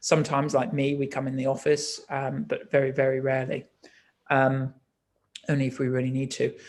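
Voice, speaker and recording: A man's medium-pitched voice at a fairly quick pace, with monotone, flat intonation. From Nottinghamshire, England. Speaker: think tank manager. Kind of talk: panel discussion. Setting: online video event. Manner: hesitant, many fillers.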